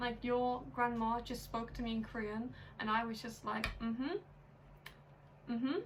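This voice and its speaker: A high-pitched woman with an English accent talks at a moderate pace with long, frequent pauses, amid noticeable background noise and audible room echo. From England, London. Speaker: YouTuber in international couple. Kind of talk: casual chat. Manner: animated, frequent 'like' fillers.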